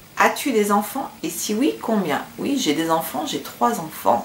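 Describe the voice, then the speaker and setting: Against noticeable background noise, a woman speaks at a very slow pace with very wide pitch swings. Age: 30s. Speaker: beauty vlogger. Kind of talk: casual vlog Q&A. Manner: hesitant, many fillers.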